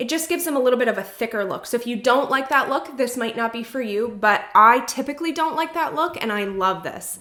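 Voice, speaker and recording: A woman talks at a very fast pace in a high voice with lively intonation and hardly any pauses, over noticeable background noise. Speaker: beauty vlogger. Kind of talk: product review. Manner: animated.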